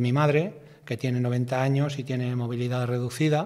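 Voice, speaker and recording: A man's medium-pitched voice with fairly even intonation against a quiet background. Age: 60s. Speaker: bus driver; interviewee. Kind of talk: interview testimony. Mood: reflective, recounting accident. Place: studio. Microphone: studio mic.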